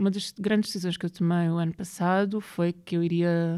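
The woman has a dark, mellow tone and a fairly low pitch. Her intonation is fairly even. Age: 30s. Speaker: writer and poet. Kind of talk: interview conversation.

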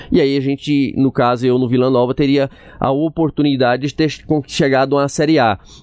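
Speaking at a moderate pace, a man with a fairly high pitch keeps a monotone, flat intonation and very even loudness. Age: 40s. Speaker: former footballer. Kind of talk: casual chat.

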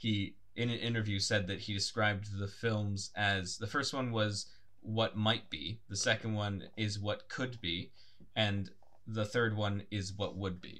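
Intonation holds fairly even. The tone comes across bright and sharp. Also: man, fairly low pitch for a man. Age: 20s. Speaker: podcast co-host. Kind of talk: casual chat. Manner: fast.

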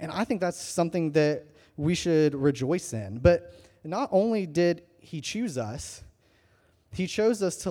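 The man's tone is dark and mellow. His intonation is lively. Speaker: student pastor. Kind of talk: sermon. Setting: church. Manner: fast.

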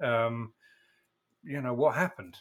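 A man with an English accent has a medium-pitched voice and fairly even intonation. The recording is very clean, with a silent background. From England. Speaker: podcast host. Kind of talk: interview.

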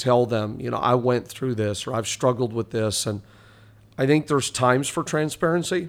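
A man with an ordinary speaking voice talks at medium pitch and a moderate pace on a very clean recording with a silent background. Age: 40s. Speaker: pastor. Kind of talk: casual chat.

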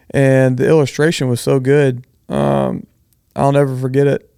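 Dry and close with no echo, a man with a Texan accent talks at a fairly slow pace in a fairly high, dark, mellow voice. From Southeast Texas (Bridge City). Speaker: architect / designer. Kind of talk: casual interview.

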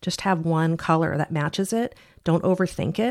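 A woman's normal speaking voice, fairly low in pitch, at a moderate pace with ordinary pitch variation, in a very clean recording with a silent background. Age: 50s. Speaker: watch podcast co-host. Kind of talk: casual chat.

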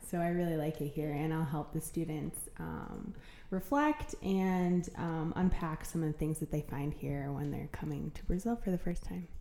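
A woman with an American accent, fairly low-pitched, at a moderate pace with fairly even intonation and hardly any pauses, amid noticeable background noise. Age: 30s. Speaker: program staff member. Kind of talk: casual interview.

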